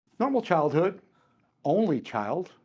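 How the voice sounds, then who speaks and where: A man with a Chicago accent at a moderate pace, his pitch swinging very widely over a quiet background. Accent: US Midwest, Chicago area. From Chicago area, Illinois (Cuban-born, came at three). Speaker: martial arts and firearms instructor. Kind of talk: interview. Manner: halting, many repeats and fillers.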